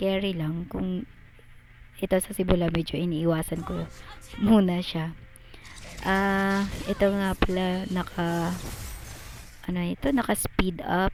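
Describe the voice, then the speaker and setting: Music plays behind a woman speaking at a fairly slow pace. Her intonation is fairly even, with long, frequent pauses. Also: medium pitch for a woman. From Visayas, Philippines. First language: Cebuano (Bisaya) (speaking Tagalog). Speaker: gamer. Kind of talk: gameplay voiceover commentary. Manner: halting, many fillers; casual.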